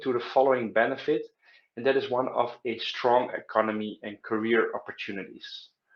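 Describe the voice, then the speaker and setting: A man talks with a Dutch accent. His pace is fairly quick. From Netherlands. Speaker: study abroad advisor. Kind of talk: informational talk to camera. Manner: hesitant, many filler sounds.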